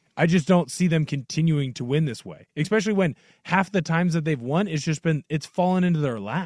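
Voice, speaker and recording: In a dry, close recording with no echo and a quiet background, a man with an unremarkable speaking voice talks at a fairly quick pace with ordinary pitch variation. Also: fairly high pitch for a man. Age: 20s. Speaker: radio producer. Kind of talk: casual sports talk radio. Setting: radio studio.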